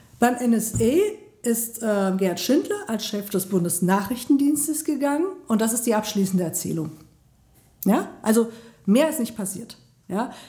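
A woman speaks in a fairly high, somewhat breathy voice with a dark, mellow tone. Her delivery is fairly slow, with lively intonation and long, frequent pauses. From Germany, Mainz (Rhineland-Palatinate). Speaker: member of parliament. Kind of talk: interview. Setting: sitting across from interviewer in a venue.

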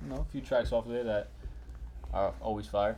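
A man speaks with a New York accent. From Bronx, New York. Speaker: rapper and podcast co-host. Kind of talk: casual chat.

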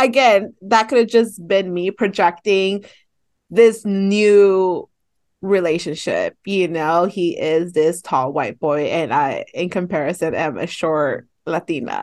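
Very slow speech from a woman with an American accent, medium pitch and ordinary pitch variation, over a quiet background. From San Fernando Valley, California. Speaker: podcast co-host. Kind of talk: casual chat.

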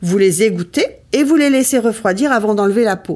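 Using a normal speaking voice, a woman talks with a fairly high pitch and lively intonation. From Ardennes, north-east France. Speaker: cooking show host. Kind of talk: recipe tutorial. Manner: casual, chatty.

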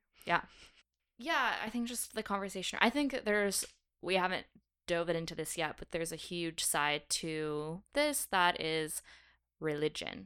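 In a very clean recording with a silent background, a woman speaks fairly slowly with lively intonation, her fairly low voice bright and sharp in tone. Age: 20s. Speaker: podcast co-host. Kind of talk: casual chat.

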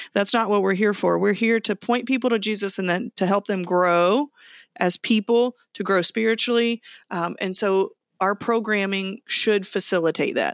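At a moderate pace and medium pitch, a woman speaks with very even loudness on a very clean recording with a silent background, dry and close with no echo. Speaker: podcast co-host, Salvation Army officer. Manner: animated, jokey.

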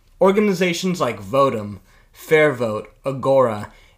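An unremarkable speaking voice belongs to a man with an American accent who talks at a moderate pace with lively intonation. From United States. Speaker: podcast host. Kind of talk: interview; scripted narration.

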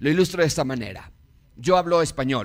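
On a very clean recording with a silent background, a man with a Mexican accent talks with lively intonation, vocal fry and a fairly high pitch. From Mexico. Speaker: pastor. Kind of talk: sermon.

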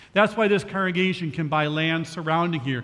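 A man with a plain, everyday voice talks at a moderate pace with a fairly high pitch. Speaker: senior pastor. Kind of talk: sermon.

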